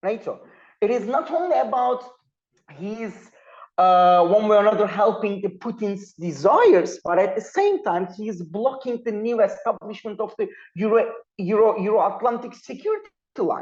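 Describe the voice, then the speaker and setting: The speaker has a Turkish accent and keeps a moderate pace. The background is quiet. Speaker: panel speaker, political analyst. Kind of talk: academic panel talk. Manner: halting, with frequent fillers.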